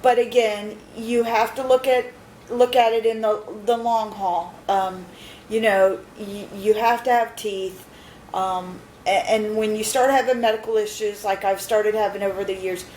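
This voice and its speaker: Delivered at a moderate pace with fairly even intonation, the speech has noticeable background noise behind it. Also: woman, fairly high pitch for a woman. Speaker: patient sharing dental experience. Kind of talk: personal video diary. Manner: halting, many fillers.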